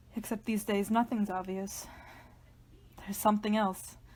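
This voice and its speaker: A woman speaks in an intense, somewhat breathy tone. Her intonation is monotone and flat. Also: medium pitch for a woman, moderate pace. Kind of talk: dramatic reading of a literary horror monologue. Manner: tense, intense, introspective.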